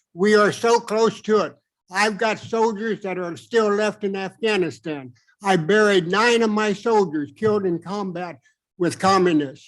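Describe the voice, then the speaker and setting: A man talks at a high pitch with ordinary pitch variation. His pace is fairly slow against a quiet background. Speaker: resident addressing city council. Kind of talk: public comment at council meeting. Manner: animated.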